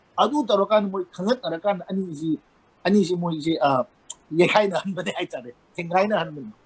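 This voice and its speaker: In a Manipur accent, a man talks at a very fast pace with a high pitch and lively intonation, in a dry, close sound with no echo. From Manipur, India. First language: Manipuri. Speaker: banker and columnist. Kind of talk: interview.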